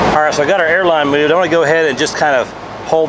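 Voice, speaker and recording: A man is speaking. Loud background noise surrounds his voice. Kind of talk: tutorial. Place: garage.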